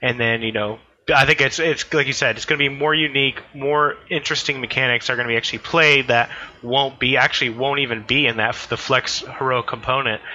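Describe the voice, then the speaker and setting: A man with an American accent speaks at a fairly quick pace and a medium pitch, with fairly even intonation. Noticeable background noise is present. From US. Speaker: podcast host. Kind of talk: casual podcast discussion. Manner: hesitant, filler-heavy.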